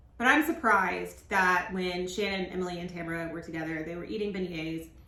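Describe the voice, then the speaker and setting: In a room with audible echo and noticeable background noise, a woman speaks fairly quickly with a fairly low pitch, ordinary pitch variation, and big swings in loudness. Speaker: reality TV recap YouTuber. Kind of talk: casual recap monologue. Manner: animated.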